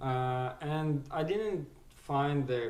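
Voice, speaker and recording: A man's fairly even intonation, with audible room echo. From Ukraine. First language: Ukrainian or Russian. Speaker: small business owner / vlogger. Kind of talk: casual tutorial talk. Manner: halting, many fillers.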